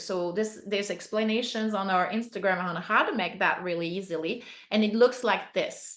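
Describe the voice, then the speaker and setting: A woman speaks in a plain, everyday voice at a medium pitch. Her intonation stays fairly even. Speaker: beekeeping instructor. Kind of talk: webinar presentation.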